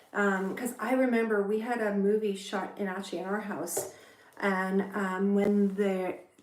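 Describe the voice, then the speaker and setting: A woman at medium pitch, fairly slow in pace, with noticeable background noise. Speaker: actor, voiceover artist, content creator. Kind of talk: casual talk to camera. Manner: casual, chatty, upbeat.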